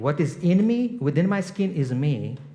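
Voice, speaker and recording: A man with a non-native accent speaks at a fairly high pitch with lively intonation. Audible room echo surrounds his voice. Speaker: guest preacher and leadership coach. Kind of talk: sermon. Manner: conversational, with hesitations.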